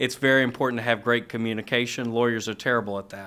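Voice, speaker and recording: Spoken in a monotone with flat intonation and a slight Virginia accent. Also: man. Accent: slight Virginia twang. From US South, Roanoke Virginia. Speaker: elder law attorney. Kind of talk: podcast interview.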